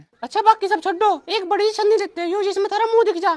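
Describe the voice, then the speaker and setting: A squeaky, put-on character voice from a woman at an extremely high pitch, very fast, with fairly even intonation. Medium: comedy sketch. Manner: brash.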